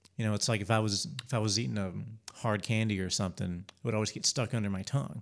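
A man with an American accent talks very fast at a fairly low pitch, with ordinary pitch variation. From Spartanburg, South Carolina. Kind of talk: casual interview conversation. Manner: halting, repeats words.

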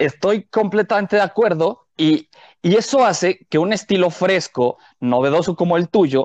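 Against a quiet background, a man speaks at a moderate pace with a high pitch and lively intonation, the sound dry and close with no echo. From Mexico City. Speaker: podcast co-host, comedian. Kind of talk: casual chat.

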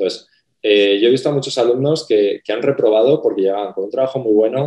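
A man is talking. He has a dark, mellow tone. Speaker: graphic design professor. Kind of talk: casual panel conversation.

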